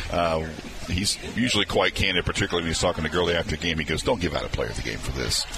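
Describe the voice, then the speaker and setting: A very deep, low-voiced man talking very fast with lively intonation amid noticeable background noise. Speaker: radio co-host. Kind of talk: casual sports talk banter.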